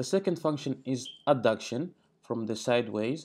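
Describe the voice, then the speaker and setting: The background stays quiet here. A man talks at a moderate pace. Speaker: fitness educator. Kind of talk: tutorial. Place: home room.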